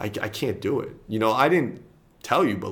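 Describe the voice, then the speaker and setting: A somewhat breathy man with an American accent at a fairly quick pace. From US, New York (the Bronx). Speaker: college basketball coach. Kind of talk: casual interview. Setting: college office.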